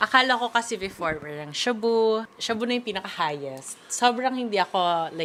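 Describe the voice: Lively intonation marks a woman's fairly bright tone. She speaks at a fairly quick pace. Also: medium pitch for a woman.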